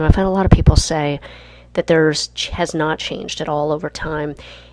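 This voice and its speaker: A soft-spoken woman with very deep, low pitch and fairly even intonation. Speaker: leadership instructor. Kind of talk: lecture.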